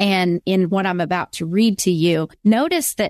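Against a quiet background, a woman talks in a plain, everyday voice at a medium pitch and fairly slow pace, the sound dry and close with no echo. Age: 50s. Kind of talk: faith interview.

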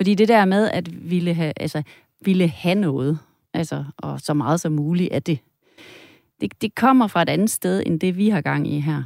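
A woman with a plain, everyday voice speaks at a fairly slow pace with lively intonation, in a dry, close sound with no echo and a very clean recording with a silent background. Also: fairly low pitch for a woman. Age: 50s. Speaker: psychotherapist and tantra masseuse. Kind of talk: interview conversation.

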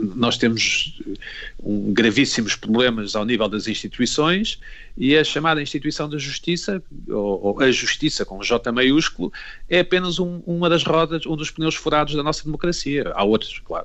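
An unremarkable speaking voice from a man, fairly high in pitch, with lively intonation at a moderate pace. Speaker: TV critic. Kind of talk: panel discussion.

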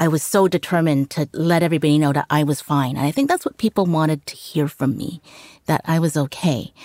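Recorded dry and close with no echo and a silent background, a woman with a Canadian accent talks very fast in a very deep, low voice with ordinary pitch variation. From Canada. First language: Cantonese. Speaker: journalist. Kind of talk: interview.

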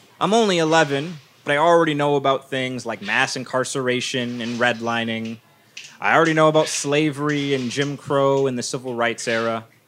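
A man with a fairly high pitch and ordinary pitch variation speaks at a fairly quick pace amid noticeable background noise. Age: 20s. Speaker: podcast host. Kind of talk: storytelling. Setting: stage with audience.

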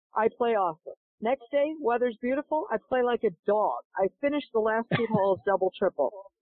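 Animated and fairly high-pitched, a woman speaks in an American accent at a fairly quick pace with hardly any pauses. Her pitch variation is ordinary and her loudness very even. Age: 60s. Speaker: golf instructor and pro golfer. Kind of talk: interview.

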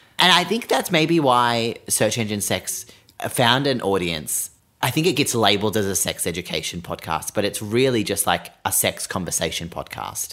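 This man's voice sits at a medium pitch and has a bright, sharp tone. He talks at a moderate pace, his pitch swinging very widely. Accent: Australian. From Sydney, Australia. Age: 20s. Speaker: podcast host. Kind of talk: casual chat.

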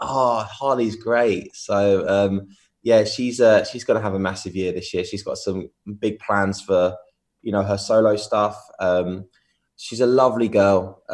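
The man has an English accent and a fairly low pitch. He talks at a fairly slow pace with fairly even intonation against a quiet background. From England. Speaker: DJ and music producer. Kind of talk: interview.

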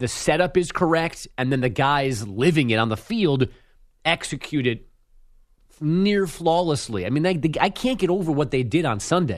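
A man with a normal speaking voice and fairly high pitch talks at a moderate pace. His intonation is lively over a quiet background. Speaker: radio host filling in. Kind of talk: casual sports talk radio banter.

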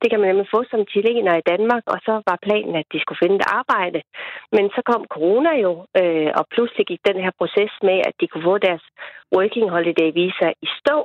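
A woman's unremarkable speaking voice, medium in pitch, with ordinary pitch variation at a moderate pace. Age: 40s. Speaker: farmer household, caller. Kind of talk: phone interview. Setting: phone call.

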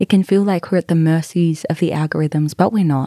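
With an Australian accent, a woman with a fairly low pitch and a dark, mellow tone speaks with ordinary pitch variation in a dry, close sound with no echo. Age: 20s. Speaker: podcast host. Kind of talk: casual monologue.

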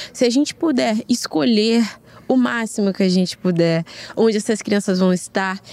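A woman at a moderate pace with a dry, close sound and no echo. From Rio de Janeiro, Brazil. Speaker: guest, friend of guest. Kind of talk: casual chat.

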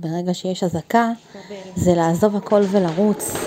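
Over noticeable background noise, a woman speaks at a medium pitch in a monotone, flat intonation. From Israel, Ashkelon. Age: 20s. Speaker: university student. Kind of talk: self-recorded testimony. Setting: self-recorded at home.

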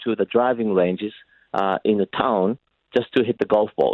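This man speaks with a Japanese accent. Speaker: golf association chief executive. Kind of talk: radio interview.

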